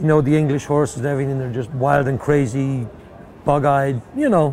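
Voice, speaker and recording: Against noticeable background noise, a man with a fairly high pitch speaks at a fairly quick pace with fairly even intonation. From Ireland. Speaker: horse trainer. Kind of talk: interview. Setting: horse show.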